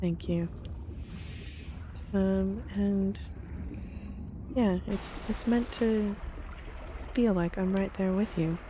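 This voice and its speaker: Soft-spoken and at very even loudness, a woman talks at a very slow pace with long, frequent pauses. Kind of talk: relaxed gameplay commentary for sleep. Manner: soft-spoken, quiet.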